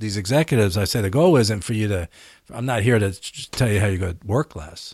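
An American-accented man with a fairly low pitch and an ordinary speaking voice, on a very clean recording with a silent background. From US Northeast, Philadelphia. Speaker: former tech CEO and author. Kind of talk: interview.

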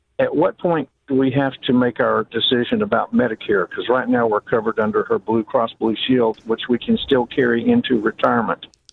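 Speaking at a fairly quick pace with hardly any pauses, a man with a Southern US accent keeps his loudness very even. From South Carolina. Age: 60s. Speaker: radio caller. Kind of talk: phone-in question. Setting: phone call.

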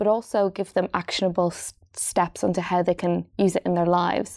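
A woman with an Irish accent talks at a fairly quick pace, her medium pitch held in a flat monotone. The sound is dry and close, with no echo. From Ireland, Dundalk. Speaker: doctor and health author. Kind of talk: interview.

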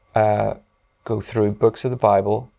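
In a Northern Irish accent, the voice has a dark, mellow tone and fairly even intonation, heard on a very clean recording with a silent background. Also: man. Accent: Northern Irish (Belfast). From Northern Ireland, Belfast. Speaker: pastor. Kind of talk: interview. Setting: podcast recording.

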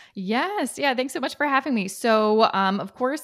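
On a very clean recording with a silent background, a woman with a Canadian accent and an unremarkable speaking voice talks at a moderate pace with ordinary pitch variation. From Canada. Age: 30s. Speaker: personal finance expert. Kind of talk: interview.

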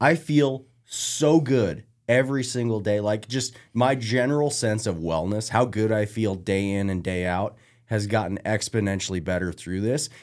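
A man talks in a plain, everyday voice at a fairly low pitch, with ordinary pitch variation. His pace is moderate, and the recording is very clean with a silent background. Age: 30s. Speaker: hunter. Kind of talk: casual chat.

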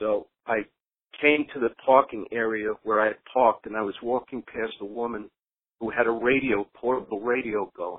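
A man with an ordinary speaking voice at a medium pitch, fairly even intonation and a moderate pace. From New York City. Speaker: retired fire captain and author. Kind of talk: interview.

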